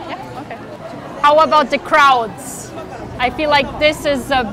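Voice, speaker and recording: A woman uses a raised, projected voice at a high pitch, with fairly even intonation and a fairly slow pace. Crowd noise sits in the background, though the sound is dry with no echo. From Germany. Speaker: vlogger. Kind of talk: street interview. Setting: outdoors. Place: station. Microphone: lapel.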